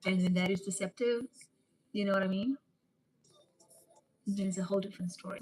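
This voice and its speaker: Very fast yet with long, frequent pauses, a woman speaks at a medium pitch, somewhat breathy, with fairly even intonation and a dry, close sound with no echo. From South Africa. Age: 30s. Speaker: live streamer. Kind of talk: casual live stream chat. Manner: casual, chatty.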